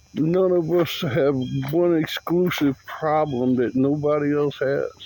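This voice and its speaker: A man's fairly high voice at a fairly slow pace, with fairly even intonation, very even loudness and noticeable background noise. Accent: American. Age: 60s. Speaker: vlogger. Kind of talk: personal monologue.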